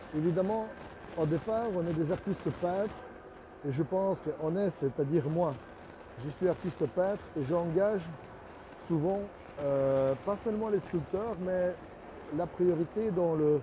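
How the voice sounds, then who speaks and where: A man with a non-native accent speaks at a fairly slow pace and a high pitch. His loudness stays very even, broken by long, frequent pauses. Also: ordinary pitch variation. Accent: non-native French speaker. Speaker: artist and sculptor, studio owner. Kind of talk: casual video commentary on own work. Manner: halting, with many hesitations.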